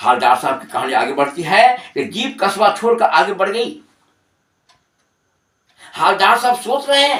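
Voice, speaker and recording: A man speaks at a high pitch with very wide swings. He pauses often and at length. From Bihar, India. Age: 60s. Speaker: Hindi teacher. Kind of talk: lecture explaining a literary text to students.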